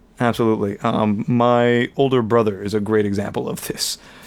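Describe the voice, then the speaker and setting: A man speaks at a moderate pace and medium pitch. His is an unremarkable speaking voice. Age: 20s. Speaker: college English teacher. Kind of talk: casual chat.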